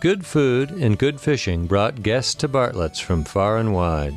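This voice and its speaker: With music in the background, a man speaks at a fairly slow pace, his pitch swinging very widely while his loudness stays very even. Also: medium pitch for a man. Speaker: documentary host. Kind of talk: documentary narration.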